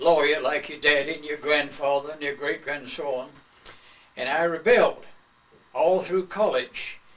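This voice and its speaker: With a North Carolina accent, a man speaks at a fairly high pitch. His pace is moderate and his intonation fairly even. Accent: Southern US (North Carolina). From US South, North Carolina (Greensboro). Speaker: retired lawyer. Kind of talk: oral history interview.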